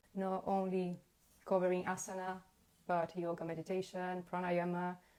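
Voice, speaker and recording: A woman speaks at a moderate pace with a fairly low pitch. Her intonation is monotone and flat. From Brazil. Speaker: yoga teacher and interviewer. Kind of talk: casual interview conversation. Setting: Instagram live video call. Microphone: poor quality due to bandwidth.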